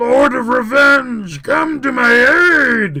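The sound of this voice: Using a put-on character voice, a man speaks slowly at an extremely high pitch, with lively intonation and a bright, sharp tone.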